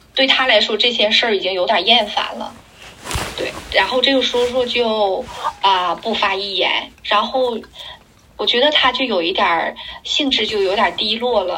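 A woman's fairly high voice at a moderate pace, with long, frequent pauses, noticeable background noise and audible room echo. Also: ordinary pitch variation. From Liaoning, northeast China. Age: 30s. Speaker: bathing aide and company founder. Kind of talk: interview.

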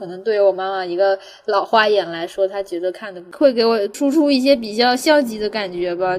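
This is a woman speaking. Her pace is fairly quick and her pitch variation ordinary. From Guangdong, southern China. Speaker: podcast host. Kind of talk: casual chat.

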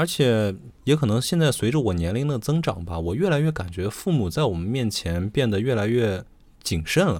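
This man's pitch swings very widely. The recording is very clean and the background silent. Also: medium pitch for a man, moderate pace. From Xi'an, Shaanxi. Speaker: podcast co-host. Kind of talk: casual chat.

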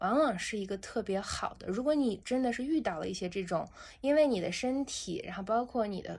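In a very clean recording with a silent background, a woman speaks at a fairly high pitch and a fairly quick pace. Her tone is calm, with lively intonation. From Xinjiang, China. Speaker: founder of a meditation brand. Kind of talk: casual interview.

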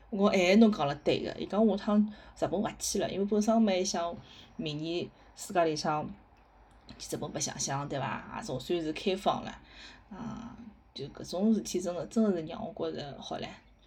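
Speaking with a Shanghainese accent, a woman has a medium pitch and a somewhat breathy sound. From Shanghai, Hongkou. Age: 30s. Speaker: podcast host. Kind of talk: casual monologue. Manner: halting.

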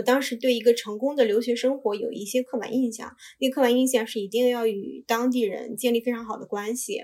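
Talking at a fairly quick pace, a woman uses a fairly high pitch and fairly even intonation. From China. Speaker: Chinese immigrant and job seeker in Korea. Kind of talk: casual interview chat. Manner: halting, many filler sounds.

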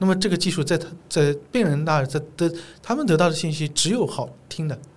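With a somewhat breathy sound, a man talks at a moderate pace. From China, Zhejiang. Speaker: gynecologist. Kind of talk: casual interview conversation.

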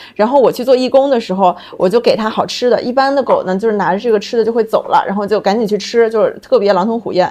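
Over noticeable background noise, a woman speaks very fast at a fairly high pitch with fairly even intonation. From Qingdao, China. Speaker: pet food company founder. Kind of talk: casual chat.

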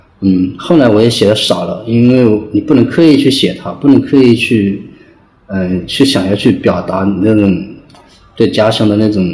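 Noticeable background noise and audible room echo around a man's moderate-paced speech. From China, Hunan (rural). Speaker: novelist. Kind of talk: interview. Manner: halting.

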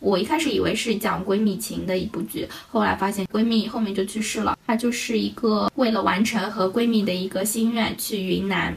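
Over noticeable background noise, a woman speaks with hardly any pauses. Her intonation stays fairly even. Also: medium pitch for a woman, moderate pace. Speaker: podcast co-host; bank teller. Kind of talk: casual chat.

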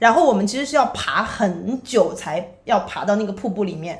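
The voice swings very widely in pitch, with audible room echo around it. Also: woman. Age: 30s. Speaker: digital nomad and content creator. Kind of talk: casual chat.

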